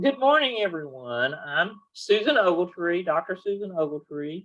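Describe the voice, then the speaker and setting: A woman with a strong Southern US accent and a bright, sharp tone at a moderate pace. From Atlanta, Georgia. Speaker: professor and research director. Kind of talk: self-introduction. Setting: video call.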